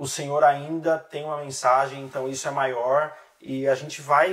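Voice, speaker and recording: A man talks at a moderate pace and fairly high pitch. He has an unremarkable speaking voice with fairly even intonation. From Brazil, interior of São Paulo state. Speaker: relationship specialist, author and missionary. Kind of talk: podcast interview. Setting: studio.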